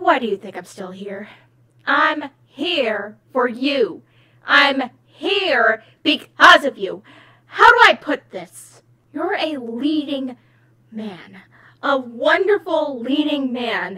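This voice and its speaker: In a put-on character voice, a female-sounding speaker talks at a very slow pace and a high pitch. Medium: dub. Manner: smug, condescending.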